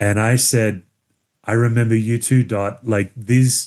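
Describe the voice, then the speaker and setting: A man with an Australian accent speaks in a dark, mellow tone at a medium pitch and a moderate pace. His intonation stays monotone and flat. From Western Australia (Perth). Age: 50s. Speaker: pastor and author. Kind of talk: podcast interview. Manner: casual, conversational.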